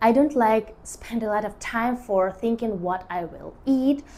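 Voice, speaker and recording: With a non-native accent, a woman speaks at a fairly slow pace in a dark, mellow tone, her fairly high pitch showing ordinary variation. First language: not English. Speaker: artist and lifestyle vlogger. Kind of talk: casual talk to camera. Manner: halting, with many fillers.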